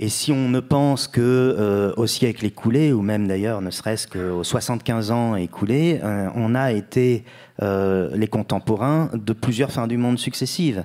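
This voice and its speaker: Over a quiet background, a man speaks at a fairly slow pace in a dark, mellow tone with ordinary pitch variation. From France, Bordeaux; France. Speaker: writer; guest. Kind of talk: literary panel discussion. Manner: halting, many hesitations. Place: stage. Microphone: handheld.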